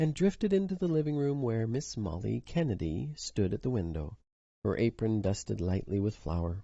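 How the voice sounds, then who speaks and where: Pitch swinging very widely, a man talks at a moderate speed with a somewhat breathy voice. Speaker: storyteller reading short stories aloud. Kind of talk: reading aloud. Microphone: recorded through phone.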